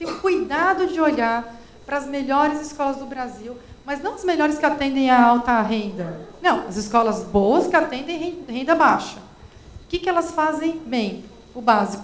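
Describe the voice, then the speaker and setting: A woman with a São Paulo accent speaks at a moderate pace and a high pitch, with audible room echo and noticeable background noise. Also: lively intonation. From Brazil, São Paulo. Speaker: education specialist. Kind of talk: panel discussion.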